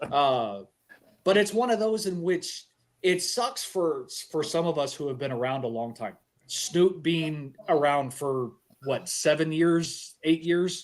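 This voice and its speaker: With a plain, everyday voice, a man talks at a fairly slow pace and fairly high pitch, his intonation lively. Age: 40s. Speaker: podcast host. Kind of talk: casual chat.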